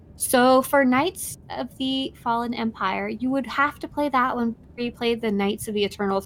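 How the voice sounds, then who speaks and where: Hardly pausing, a woman with a high pitch and ordinary pitch variation talks at a moderate pace. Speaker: video game streamer. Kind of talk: casual chat on a live game stream. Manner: speaking quietly.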